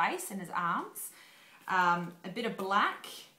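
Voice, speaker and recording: Amid noticeable background noise, a woman talks at a fairly slow pace in a monotone, flat intonation. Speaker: cake decorator. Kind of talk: cake decorating tutorial. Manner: casual, hesitant.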